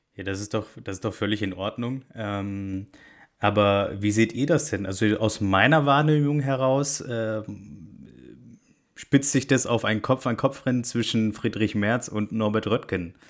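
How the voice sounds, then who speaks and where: The speaker uses ordinary pitch variation on a very clean recording with a silent background. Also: man, fairly low pitch for a man. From Bavaria. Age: 20s. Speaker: podcast co-host, political scientist. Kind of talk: casual political chat. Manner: hesitant, frequent fillers.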